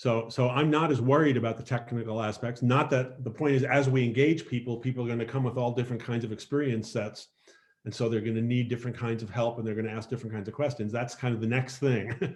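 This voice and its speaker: Very fast and somewhat breathy, a man talks at a medium pitch. His intonation is fairly even. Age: 70s. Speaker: nonprofit founder hosting online meeting. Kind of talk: casual talk in video meeting. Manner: halting, many restarts.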